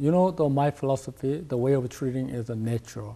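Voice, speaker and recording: A man with a Korean accent talks at a fairly quick pace, his medium-pitched voice showing ordinary pitch variation. His tone is dark and mellow and somewhat breathy. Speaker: acupuncturist, clinic director. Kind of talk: TV interview. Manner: halting, many fillers.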